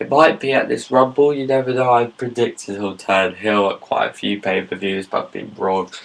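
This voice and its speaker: Against noticeable background noise, a man talks in a British accent. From Britain. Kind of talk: casual talk to camera.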